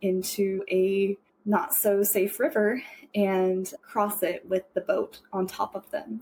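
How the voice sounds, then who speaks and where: In an American accent, a woman speaks in a normal speaking voice at a medium pitch with fairly even intonation. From Woodland, California. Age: 30s. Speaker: returned Peace Corps volunteer. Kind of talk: interview answer. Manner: casual, conversational.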